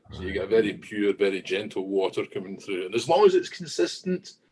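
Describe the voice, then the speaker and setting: With a Scottish accent, a man talks at a fairly quick pace. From southwest Scotland. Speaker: whisky industry manager. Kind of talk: podcast interview.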